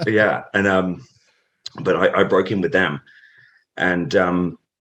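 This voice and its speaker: A man speaks with a British accent at a fairly low pitch. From England, Norfolk (East Anglia). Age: 30s. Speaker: professional wrestler. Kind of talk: interview. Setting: podcast.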